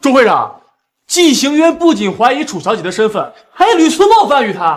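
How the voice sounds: A man's put-on character voice at an extremely high pitch, with very wide pitch swings and a moderate pace.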